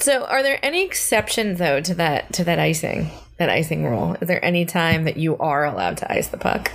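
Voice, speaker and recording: Noticeable background noise accompanies a woman who talks fairly quickly in an American accent. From New Jersey. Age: 30s. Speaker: podcast co-host. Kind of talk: casual chat.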